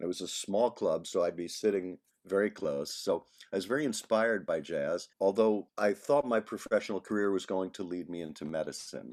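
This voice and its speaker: A man with a New York accent at a fairly low pitch and fairly quick pace, with ordinary pitch variation, on a very clean recording with a silent background. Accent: New York American English. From New York area, Long Island. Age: 60s. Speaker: saxophonist and composer. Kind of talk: interview conversation.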